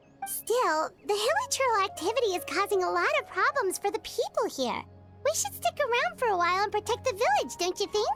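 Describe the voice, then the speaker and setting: Set against clear background music, a put-on character voice talks at a fairly quick pace with an extremely high pitch. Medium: read story. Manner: lively, expressive.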